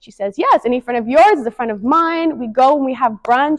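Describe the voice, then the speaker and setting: A woman's high, animated voice with an American accent and lively intonation, dry and close with no echo, over a quiet background. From San Diego, California. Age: 20s. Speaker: motivational speaker. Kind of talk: presentation. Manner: fast.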